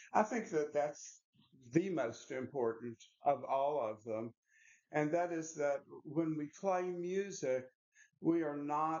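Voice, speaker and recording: Speaking at a very slow pace, this man has a fairly high voice and ordinary pitch variation. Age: 70s. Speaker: piano teacher. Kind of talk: lecture. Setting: master class with audience. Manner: halting.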